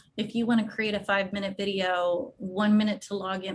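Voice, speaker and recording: This woman's voice is somewhat breathy and of medium pitch. Her intonation stays fairly even. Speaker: education technology presenter. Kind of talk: webinar presentation. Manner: casual.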